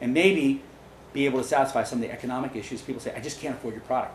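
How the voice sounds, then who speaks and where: A fairly high-pitched man with an American accent at a very fast pace, with audible room echo and noticeable background noise. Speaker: dairy farm owner and speaker. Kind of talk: lecture with audience questions. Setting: meeting room with live audience.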